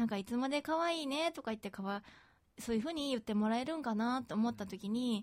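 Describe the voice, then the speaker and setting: A woman's high pitch with very wide pitch swings, in a very clean recording with a silent background. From Osaka, Japan. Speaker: podcast co-host. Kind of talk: casual chat.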